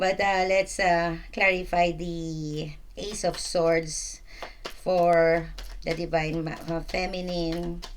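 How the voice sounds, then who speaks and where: Very slow and monotone, a woman speaks with flat intonation and a fairly low pitch. Audible room echo surrounds her voice. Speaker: tarot reader. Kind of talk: tarot reading. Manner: halting, stuttering; casual, filler-heavy.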